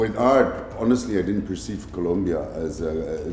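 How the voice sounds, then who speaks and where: Over music in the background and with audible room echo, a man speaks fairly slowly in a very deep, low pitch with lively intonation. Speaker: pavilion commissioner general. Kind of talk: interview conversation. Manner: loud, straightforward.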